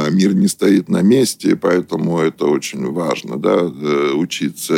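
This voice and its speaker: A man's fairly slow delivery in a dry, close sound with no echo. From Russia, moved around the Soviet Union as a military child. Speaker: business consultant and company director. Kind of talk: radio interview.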